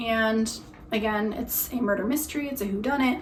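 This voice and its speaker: Over audible room echo, a woman with a fairly high pitch talks at a moderate pace with ordinary pitch variation. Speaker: book reviewer. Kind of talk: casual book recommendation monologue. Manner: casual with frequent fillers.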